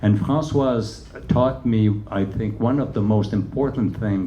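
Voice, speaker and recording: Ordinary pitch variation in a Quebec accent, with audible room echo. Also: man. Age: 70s. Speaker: choreographer and dancer. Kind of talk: onstage interview. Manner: halting, many fillers.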